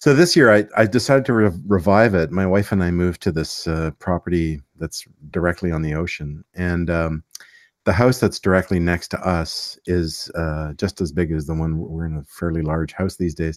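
In a very clean recording with a silent background and a dry, close sound with no echo, a man with a Canadian accent speaks at a moderate pace in a very deep, low pitch with ordinary pitch variation. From Canada, Montreal. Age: 50s. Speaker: fingerstyle guitarist. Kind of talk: casual interview chat.

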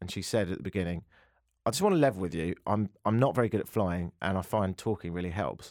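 With an English accent, a man speaks very fast in a very deep, low voice. The recording is very clean and the background silent. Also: dry, close sound with no echo. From London, England. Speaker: radio host. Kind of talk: casual chat.

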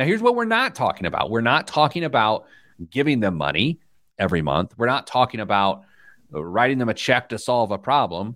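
A man's fairly quick speech with vocal fry and very wide pitch swings. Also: very clean recording, silent background. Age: middle-aged. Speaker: financial radio host. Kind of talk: casual chat.

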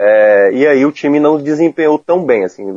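In a dry, close sound with no echo, a man speaks in a dark, mellow tone with ordinary pitch variation. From Ceará, Brazil. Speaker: football commentator. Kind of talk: casual chat. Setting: remote call.

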